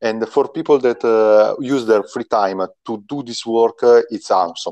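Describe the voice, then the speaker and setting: A dark, mellow voice with an Italian accent moves at a fairly slow pace. The background is quiet, and the sound is dry and close with no echo. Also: man. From Italy. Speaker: game designer. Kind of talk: interview. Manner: halting.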